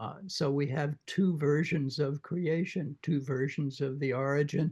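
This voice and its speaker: This somewhat breathy voice moves at a moderate pace with fairly even intonation. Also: man. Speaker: literature professor. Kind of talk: book club discussion.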